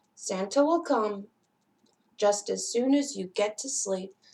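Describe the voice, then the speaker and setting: Putting on a character voice, a woman speaks fairly slowly at a fairly high pitch. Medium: read story.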